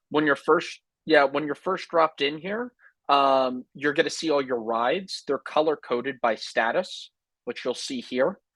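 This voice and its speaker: An unremarkable speaking voice belongs to a man who talks at a moderate pace and fairly high pitch with ordinary pitch variation, on a very clean recording with a silent background. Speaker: software sales representative. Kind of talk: sales pitch.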